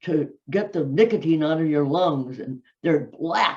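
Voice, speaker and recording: A woman speaks with an American accent. Her tone is dark and mellow. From US Midwest, Minneapolis. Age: 90s. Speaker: fitness personality. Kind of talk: interview storytelling. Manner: halting.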